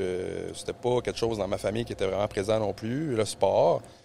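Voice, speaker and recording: A man in a Quebec accent. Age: 30s. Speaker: jiu-jitsu practitioner. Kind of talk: casual podcast chat.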